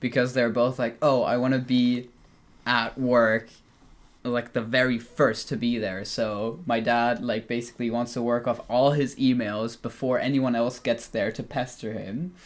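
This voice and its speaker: The man has an unremarkable speaking voice at a medium pitch. He talks at a fairly slow pace with fairly even intonation. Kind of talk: casual podcast chat.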